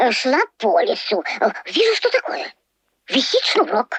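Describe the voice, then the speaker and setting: A high-pitched, cartoonish character voice speaks at a moderate pace. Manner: halting, full of hesitations.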